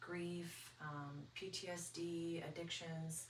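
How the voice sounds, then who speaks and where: Noticeable background noise and audible room echo accompany a woman speaking at a fairly low pitch. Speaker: psychology student, guest. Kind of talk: interview, personal testimony. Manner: halting, many fillers.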